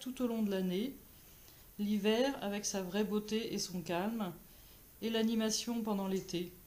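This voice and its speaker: Speaking at a fairly slow pace with long, frequent pauses, a woman keeps a fairly high pitch and fairly even intonation. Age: 50s. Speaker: therapist, municipal election candidate. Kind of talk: campaign self-introduction.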